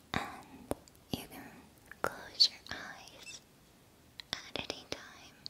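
A woman is speaking. She whispers. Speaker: ASMR creator. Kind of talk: ASMR personal attention. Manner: whispered. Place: home room. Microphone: studio mic.

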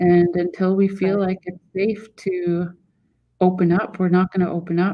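A woman's fairly slow, monotone, flat delivery over a quiet background. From Haida Gwaii, British Columbia, Canada. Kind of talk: interview. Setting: video call. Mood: serious, earnest. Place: home room. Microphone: video call.

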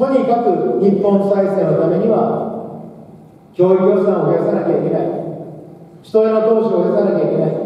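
A man speaks with fairly even intonation amid strong room echo. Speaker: election candidate. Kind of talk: campaign speech. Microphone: pa.

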